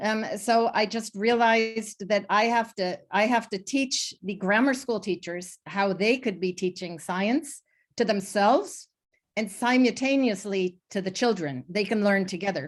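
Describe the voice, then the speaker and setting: Fairly high in pitch, a woman speaks with an American accent and ordinary pitch variation. She goes at a fairly slow pace in a very clean recording with a silent background. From United States. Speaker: STEM education program founder. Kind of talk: roundtable panel talk. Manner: frequent hesitations and fillers.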